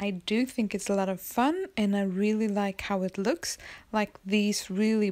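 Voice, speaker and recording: A woman with a Swedish accent speaks at a medium pitch and a fairly slow pace. Her intonation stays fairly even, and the recording is very clean with a silent background. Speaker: planner hobby vlogger. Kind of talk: casual tutorial. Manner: halting.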